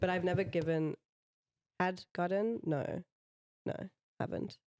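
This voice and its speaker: The speaker has a South African accent and ordinary pitch variation. The sound is dry and close, with no echo. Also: woman, fairly low pitch for a woman, fairly slow pace. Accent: South African-sounding. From Botswana, South Africa and France. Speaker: tattoo artist. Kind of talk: casual chat.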